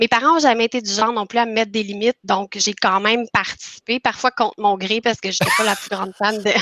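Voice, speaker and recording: Very fast and with hardly any pauses, a woman speaks at a fairly high pitch with fairly even intonation in a dry, close sound with no echo. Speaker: patient sharing testimony. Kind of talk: testimony. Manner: halting.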